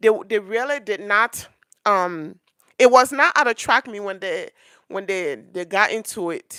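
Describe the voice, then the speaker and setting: At a moderate pace, a woman with a fairly high pitch speaks in a bright, sharp tone with lively intonation, recorded very cleanly and dry and close with no echo against a silent background. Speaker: commentary youtuber. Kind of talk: casual commentary monologue. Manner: halting, stuttering.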